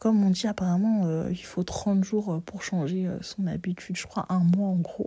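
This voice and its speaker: A woman's medium-pitched voice, fairly slow and nearly pause-free, in a flat monotone. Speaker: solo podcast host. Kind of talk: casual monologue. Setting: bedroom.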